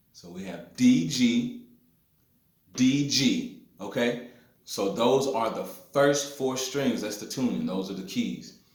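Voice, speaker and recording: A man with an American accent speaks at a very slow pace, with medium pitch, ordinary pitch variation and audible room echo. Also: long, frequent pauses, big swings in loudness. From US South, north Mississippi hill country. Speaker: blues guitarist. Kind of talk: guitar tutorial. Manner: casual with filler words.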